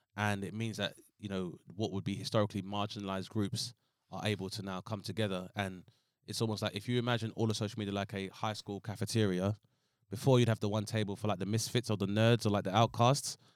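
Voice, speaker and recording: A very fast, monotone man's voice with flat intonation, fairly low in pitch and in a London accent, dry and close with no echo on a very clean recording with a silent background. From Southeast London. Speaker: comedian. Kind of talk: casual chat. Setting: studio.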